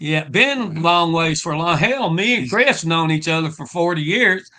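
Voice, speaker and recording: A man with a Southern US accent, high in pitch, lively in intonation, at a moderate pace. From Louisiana, Shreveport. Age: old. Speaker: rock singer. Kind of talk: casual interview chat.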